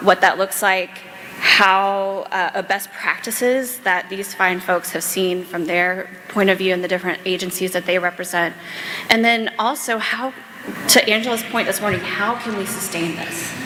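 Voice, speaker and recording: Over noticeable background noise, a woman with an American accent speaks at a moderate pace, at medium pitch with ordinary variation. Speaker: panel moderator, policy director. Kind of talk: panel moderation at a conference. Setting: stage with audience. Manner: animated.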